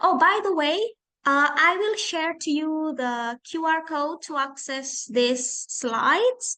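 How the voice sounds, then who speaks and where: A woman speaks in a raised, projected voice. Her high pitch moves in very wide swings. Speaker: English lecturer. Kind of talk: online lecture.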